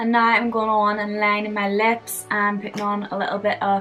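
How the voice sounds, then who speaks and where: Music plays in the background as a woman speaks in a Northern Irish accent. Her medium-pitched delivery is monotone and flat at a moderate pace. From Belfast, Northern Ireland. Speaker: makeup vlogger. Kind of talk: makeup tutorial talk to camera. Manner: casual, humorous.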